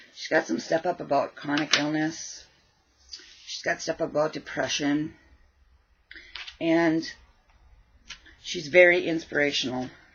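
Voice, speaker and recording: Mumbled, fairly slow speech in a flat monotone, with long, frequent pauses and big swings in loudness. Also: woman, very deep, low pitch for a woman. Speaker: crafting vlogger. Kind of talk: casual craft vlog chat. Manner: mumbling.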